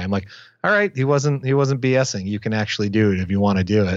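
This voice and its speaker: A man with a Canadian accent, fairly low-pitched, at a very fast pace, with ordinary pitch variation. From Windsor, Ontario, Canada. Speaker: film director. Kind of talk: casual interview. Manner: fast, with frequent repetitions.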